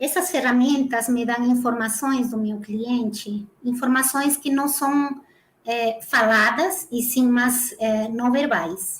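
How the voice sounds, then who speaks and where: A woman speaks at a very slow pace with a high pitch and ordinary pitch variation. The recording is very clean, with a silent background. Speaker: dance movement therapist. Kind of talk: interview.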